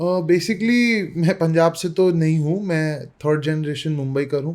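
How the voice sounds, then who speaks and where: A man speaks with a high pitch and ordinary pitch variation. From Mumbai, India. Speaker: youth politician. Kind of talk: interview. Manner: frequent hesitations (uh).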